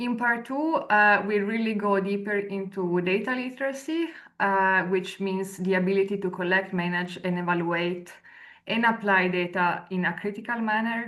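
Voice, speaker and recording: A woman speaks at a moderate pace with a medium pitch and ordinary pitch variation. Room echo is audible. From Italy. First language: Italian. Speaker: researcher and lecturer. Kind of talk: webinar presentation. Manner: hesitant, many fillers.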